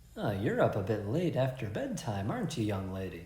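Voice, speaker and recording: Putting on a gruff character voice, a man at a medium pitch talks at a fairly quick pace with lively intonation and a slight echo. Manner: patronizing.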